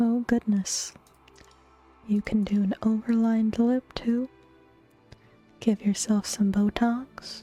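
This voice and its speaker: Over music in the background, a soft-spoken woman talks in a relaxed tone at a very slow pace, her fairly high voice monotone and flat, with very even loudness and long, frequent pauses. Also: dry, close sound with no echo. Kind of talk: ASMR soft-spoken casual chat while gaming. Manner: soft-spoken, relaxed.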